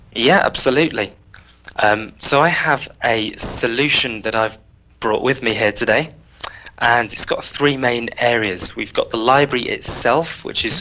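The tone is bright and sharp, in a British accent. Delivery is at a moderate pace with fairly even intonation. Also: man. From UK. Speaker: software engineer on a customer advisory team; guest. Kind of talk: technical tutorial. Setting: video call. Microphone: headset.

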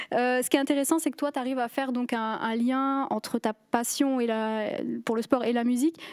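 Against a quiet background, a woman with a high voice speaks at a fairly quick pace. Her intonation stays fairly even. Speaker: arts show host; TV show host. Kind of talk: interview. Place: stage. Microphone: handheld.

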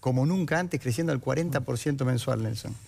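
A man speaks with lively intonation. His voice is somewhat breathy. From Argentina, Santa Fe. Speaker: politician. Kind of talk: political debate. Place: studio. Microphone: headset.

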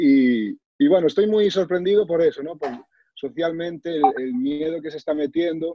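The man's voice sits high in pitch, with ordinary pitch variation and a dry sound with no echo. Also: moderate pace. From Galicia, Spain (Sarria, Lugo). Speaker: author, cancer survivor and motivational speaker. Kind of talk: personal testimony. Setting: video call. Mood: reflective, earnest. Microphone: video call.

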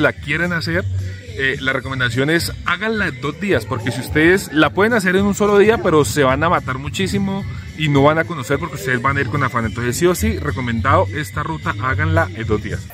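Clear music plays behind a man's voice. He talks at a very fast pace, and the sound is dry with no echo. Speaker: motorcycle travel vlogger. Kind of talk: casual vlog chat. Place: street. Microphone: phone near.

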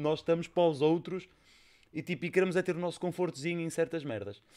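A man speaks at a moderate pace and a high pitch. The background is quiet. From Portugal. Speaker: podcast host. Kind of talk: casual chat. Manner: animated. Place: studio. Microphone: studio mic.

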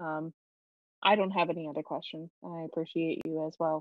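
A woman delivers her lines at a fairly low pitch in a monotone, flat way. The sound is dry with no echo, over a quiet background. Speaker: city council committee chair. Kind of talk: public meeting; meeting questions and remarks. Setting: video call. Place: home room. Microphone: video call.

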